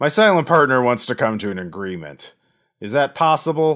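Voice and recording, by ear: A man puts on a gravelly character voice at a medium pitch and fairly quick pace. His pitch swings very widely, and his loudness shifts in big swings.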